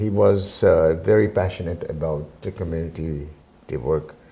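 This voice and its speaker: A man's voice has a dark, mellow tone with vocal fry. He talks at a moderate pace. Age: 70s. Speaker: community centre president, retired businessman. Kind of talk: interview. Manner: halting, many fillers.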